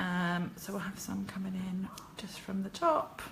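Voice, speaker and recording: A woman with an English accent and a medium pitch. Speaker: card-making demonstrator. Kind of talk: crafting tutorial livestream. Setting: live video from her kitchen. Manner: chatty, hesitant with fillers.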